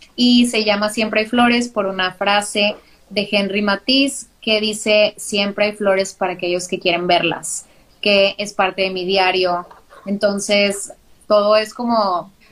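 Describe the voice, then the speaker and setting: A woman talks in a northern Mexican accent. Her pitch is fairly high and her pace fairly slow. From northern Mexico, Monterrey. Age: 30s. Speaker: graphic designer and podcaster. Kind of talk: casual interview. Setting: live video stream.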